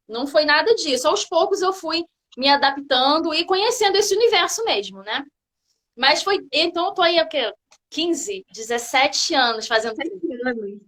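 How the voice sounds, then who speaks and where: Extremely high in pitch and bright and sharp in tone, a woman speaks at a moderate pace with a Rio de Janeiro accent and very wide pitch swings. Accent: Carioca Brazilian Portuguese. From Brazil, Rio de Janeiro. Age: 30s. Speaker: physical education teacher, hiker. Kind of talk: casual interview chat.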